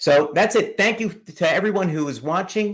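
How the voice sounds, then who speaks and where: A moderate pace in a New York accent on a very clean recording with a silent background. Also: man. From New York City. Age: 70s. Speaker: comic book YouTuber. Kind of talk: live stream chat.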